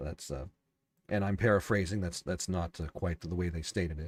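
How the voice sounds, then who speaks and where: In a calm, soothing tone, a man with a very deep, low pitch speaks somewhat breathily with ordinary pitch variation, the sound dry and close with no echo. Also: very clean recording, silent background. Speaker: podcast host and novelist. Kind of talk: solo livestream commentary. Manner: halting, many fillers and restarts.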